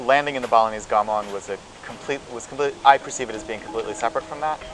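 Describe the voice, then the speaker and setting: With an American accent, a man talks at a very fast pace and medium pitch, with fairly even intonation, big swings in loudness and noticeable background noise. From San Francisco, US. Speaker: college student and composer. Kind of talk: interview testimony. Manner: halting.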